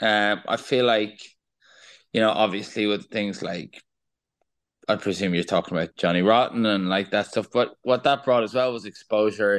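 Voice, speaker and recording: Against a quiet background, a man with an Irish accent speaks at a moderate pace. His pitch is fairly low and his intonation fairly even. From Ireland. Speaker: singer-songwriter. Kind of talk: interview.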